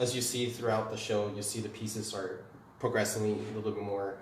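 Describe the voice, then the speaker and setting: The recording carries audible room echo. Noticeable background noise runs underneath. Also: man. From Taiwan, moved to Canada at about nine. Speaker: artist, printmaker and paper maker. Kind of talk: artist talk and gallery tour. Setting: art gallery, live-streamed. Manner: casual, halting with many fillers.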